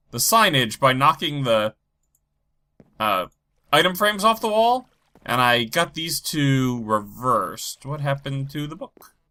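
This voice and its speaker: In a very clean recording with a silent background, a man with a bright, sharp tone and fairly high pitch speaks at a fairly slow pace, with very wide pitch swings and long, frequent pauses. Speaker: gaming YouTuber. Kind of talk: let's play commentary. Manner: low energy.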